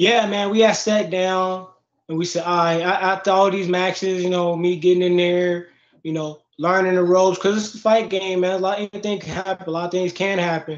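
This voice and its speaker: An American accent comes through at a fairly quick pace with monotone, flat intonation. Audible room echo is present. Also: man, high pitch for a man. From Chicago. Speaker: MMA fighter; interviewee. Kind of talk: casual interview. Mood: relaxed, candid. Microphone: video call.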